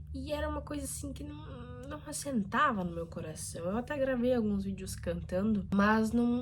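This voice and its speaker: A woman speaks at a fairly slow pace. Room echo can be heard. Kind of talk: casual vlog talk. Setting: bedroom.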